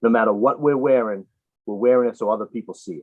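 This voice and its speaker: In a northeastern US accent, the speaker moves at a fairly quick pace with ordinary pitch variation. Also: man. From Boston, US Northeast. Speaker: RC apparel business owner. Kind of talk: casual interview.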